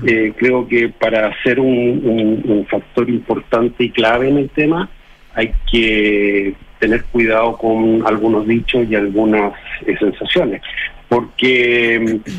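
Speaking at a very slow pace, a man holds a very even loudness, with medium pitch and fairly even intonation. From Chile. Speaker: community leader. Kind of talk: radio interview. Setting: phone call. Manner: halting.

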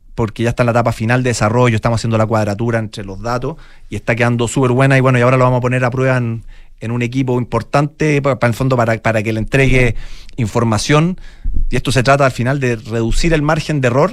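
A man races along at a very fast pace, keeping his intonation fairly even. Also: medium pitch for a man. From Chile, Santiago. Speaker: football analytics entrepreneur. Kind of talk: interview.

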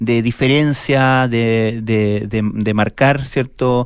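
The recording is very clean and the background silent. A man talks at a medium pitch. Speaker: radio host. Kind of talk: casual chat. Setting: studio.

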